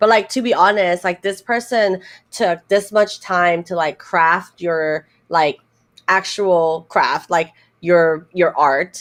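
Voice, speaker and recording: A woman speaks at a fairly low pitch against a quiet background. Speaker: live streamer and content creator. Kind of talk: casual chat. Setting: live stream.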